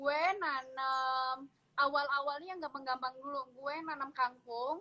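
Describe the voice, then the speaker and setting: A woman speaks at a very slow pace with a high pitch. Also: fairly even intonation. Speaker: home gardener. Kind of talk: casual chat. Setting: video call. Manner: soft-spoken. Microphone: no earphone, speaking without headset mic.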